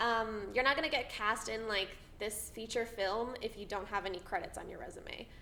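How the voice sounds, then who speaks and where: Audible room echo surrounds a woman talking at a fairly high pitch. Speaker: actor, theatre school alumna. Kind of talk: panel talk to students. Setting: audience in a theatre department room. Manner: filler-heavy, halting.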